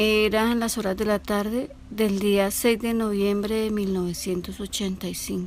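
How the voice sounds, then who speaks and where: Using a normal speaking voice, a woman speaks at medium pitch and a fairly slow pace. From Colombia, Bogotá. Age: 60s. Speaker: eyewitness. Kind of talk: testimony.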